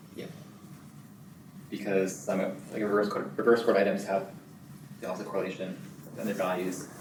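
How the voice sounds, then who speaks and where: A man at a fairly quick pace with long, frequent pauses, fairly low pitch and monotone, flat intonation, plus audible room echo and noticeable background noise. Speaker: research assistant presenting a talk. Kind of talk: academic talk with Q&A. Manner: fast; repeats words, stumbles.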